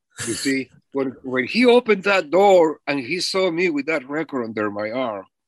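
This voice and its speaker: Speaking with a non-native accent at a moderate pace, a man uses a fairly high voice with very wide pitch swings, recorded dry and close with no echo. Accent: foreign. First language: not English. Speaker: musician, drummer. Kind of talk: interview storytelling.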